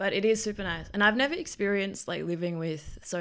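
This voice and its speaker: A woman with a slight Australian accent, at a very fast pace. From Melbourne, Australia. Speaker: exchange student. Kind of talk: casual chat. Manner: nervous.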